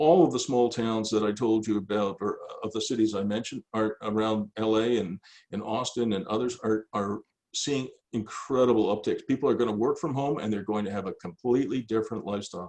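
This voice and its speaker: Here a man talks at a fairly quick pace. His pitch is medium, with fairly even intonation. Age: 60s. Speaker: business coach. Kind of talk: casual chat. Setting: video call. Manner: halting, repeated words.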